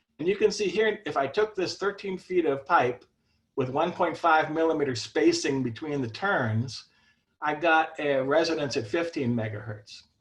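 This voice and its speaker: A man speaks in an unremarkable speaking voice, pitched fairly high. His intonation is lively and his pace moderate. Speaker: ham radio antenna builder. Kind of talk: technical presentation.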